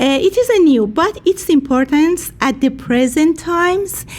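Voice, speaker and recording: A woman with a Persian accent, lively intonation and a fairly slow pace, over noticeable background noise. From Iran. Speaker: peace activist and social worker. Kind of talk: speech at a rally. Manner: halting.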